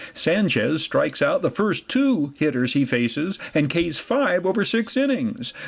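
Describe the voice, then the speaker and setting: A man's pitch swings very widely as he talks at a moderate pace against noticeable background noise. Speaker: sports reporter. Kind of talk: sports highlight narration.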